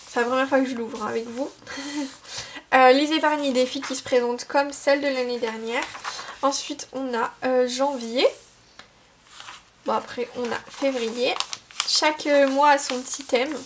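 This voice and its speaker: A woman with a high voice speaks fairly slowly, leaving long, frequent pauses, amid noticeable background noise. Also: fairly even intonation. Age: 20s. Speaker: law student. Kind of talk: casual talk to camera.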